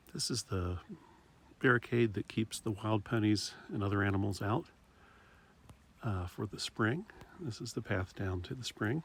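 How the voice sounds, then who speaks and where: The voice is soft-spoken and somewhat breathy at a moderate pace. Long pauses come often. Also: man, fairly low pitch for a man, ordinary pitch variation. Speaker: hiking vlogger. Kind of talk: outdoor vlog narration. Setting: outdoors.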